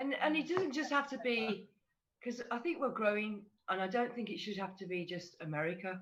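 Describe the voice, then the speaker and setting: A woman with an English accent, fairly high in pitch, with very wide pitch swings at a fairly quick pace. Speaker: fan community ambassador. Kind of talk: casual group discussion on livestream.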